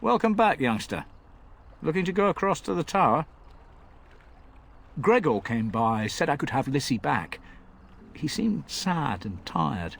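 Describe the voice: Putting on a character voice, a man talks at a fairly slow pace with long, frequent pauses, his fairly high pitch making big swings, with a fairly bright tone and vocal fry.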